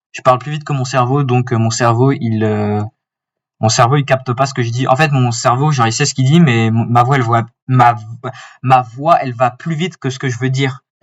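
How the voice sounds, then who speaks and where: Somewhat breathy, a man talks at a medium pitch and a fairly quick pace with fairly even intonation. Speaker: forex trader. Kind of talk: tutorial. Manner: halting, stammering.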